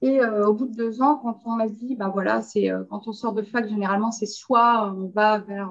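Here is a woman with an ordinary speaking voice at a fairly high pitch. She talks at a fairly slow pace, with ordinary pitch variation. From Belgium. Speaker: quality and radiation protection consultant. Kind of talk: interview.

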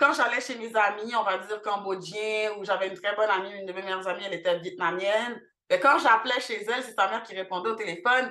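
Bright, sharp tone from a woman at a medium pitch. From Montreal, Quebec. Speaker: cultural centre founder. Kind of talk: interview.

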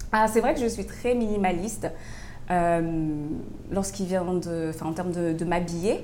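A woman speaks very slowly in a dark, mellow tone at fairly low pitch with ordinary pitch variation, with audible room echo around her. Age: 30s. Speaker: fashion entrepreneur. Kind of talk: interview. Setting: coffee shop.

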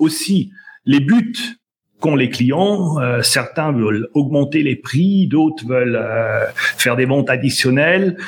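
Very slowly, a man with a fairly high pitch speaks in a somewhat breathy voice, his intonation lively and his loudness very even. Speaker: sales trainer. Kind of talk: casual interview. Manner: hesitant, repeats words.

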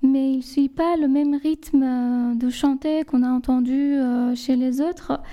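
Speaking very slowly in a Persian accent, a woman has a high-pitched voice with a dark, mellow tone and fairly even intonation. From southern Iran, Lar. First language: Persian (speaking French). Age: 30s. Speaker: guest. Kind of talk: casual chat.

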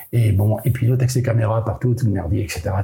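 Audible room echo surrounds a man speaking at a fairly quick pace. His voice is somewhat breathy with a dark, mellow tone and ordinary pitch variation. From Brittany, France (island of Molène). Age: 70s. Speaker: sailor and adventurer. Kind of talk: interview storytelling. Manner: halting with frequent repetitions.

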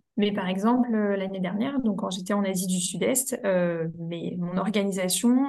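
Amid noticeable background noise, a woman with a medium pitch speaks at a moderate pace with ordinary pitch variation. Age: 20s. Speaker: content creator and freelance social media manager. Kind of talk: casual interview.

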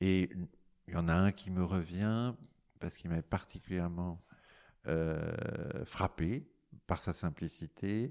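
Very slowly, with long, frequent pauses, a man speaks at a very deep, low pitch with ordinary pitch variation. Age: 60s. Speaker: amateur recorder player. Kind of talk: group discussion. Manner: halting.

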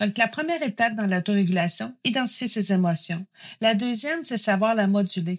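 A woman's fairly high, somewhat breathy voice with lively intonation. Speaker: psychoeducator. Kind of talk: interview.

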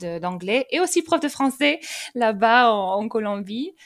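In a very clean recording with a silent background, a woman with a fairly high pitch speaks at a very slow pace, her pitch swinging very widely. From England, raised in France from age 12. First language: English (speaking French). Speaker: language teacher. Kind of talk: casual interview. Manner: hesitant, with repetitions.

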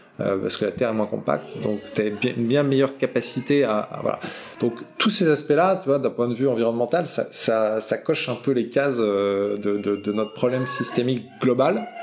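Noticeable background noise sits beneath the voice, whose pitch varies in an ordinary way. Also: man, medium pitch for a man, moderate pace. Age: 40s. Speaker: entrepreneur. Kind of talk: interview. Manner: hesitant, many fillers.

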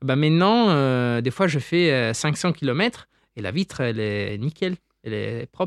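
A man speaks very slowly in a fairly high pitch. His intonation is lively. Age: 20s. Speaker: doctoral researcher in insect ecology. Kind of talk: interview, popular science explanation.

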